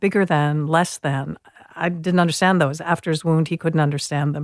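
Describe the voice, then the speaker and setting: Pitch moves in an ordinary way through a plain, everyday voice. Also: woman. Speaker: educator and author. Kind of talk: interview.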